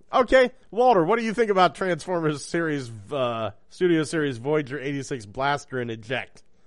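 Against a quiet background, a man talks at a moderate pace in a fairly high pitch with very wide pitch swings. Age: 50s. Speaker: podcast host. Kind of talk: casual chat. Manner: profane, jokey.

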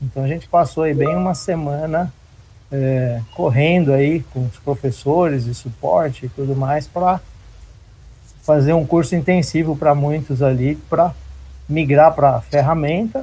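A man speaks at a fairly slow pace with a fairly high pitch and ordinary pitch variation. His tone is dark and mellow, and somewhat breathy. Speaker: IT manager. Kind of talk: panel discussion.

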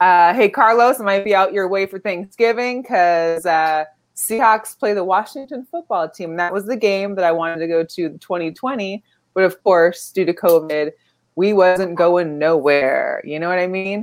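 With an unremarkable speaking voice, a woman talks at a moderate pace and medium pitch, showing ordinary pitch variation. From Las Vegas, Nevada. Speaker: sports podcast co-host. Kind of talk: casual chat. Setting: live stream.

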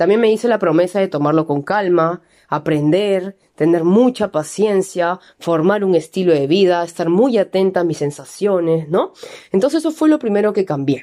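Against a quiet background, a woman speaks at medium pitch. Her tone is dark and mellow, her loudness very even. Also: lively intonation, moderate pace. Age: 20s. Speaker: keto nutrition coach and trainer. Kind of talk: personal testimony monologue.

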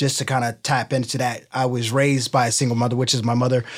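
In a very clean recording with a silent background, a man with an American accent speaks in a medium pitch. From Cincinnati, Ohio, US Midwest. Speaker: personal trainer and entrepreneur. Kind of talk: interview. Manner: animated.

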